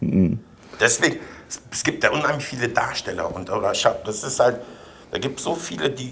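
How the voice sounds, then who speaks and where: A man talks at a moderate pace, pausing long and often. His loudness swings widely. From Vienna, Austria. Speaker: actor, coach and voice-over speaker. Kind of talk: interview answer. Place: office.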